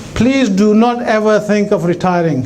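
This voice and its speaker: Amid noticeable background noise and audible room echo, a man speaks at a high pitch in an animated tone with lively intonation. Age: 60s. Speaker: businessman. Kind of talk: keynote speech. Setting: stage with audience. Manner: conversational, animated.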